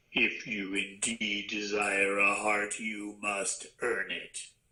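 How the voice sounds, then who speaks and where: A man growls in a put-on character voice, gruff and fairly low. He talks at a very slow pace. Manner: gruff, commanding.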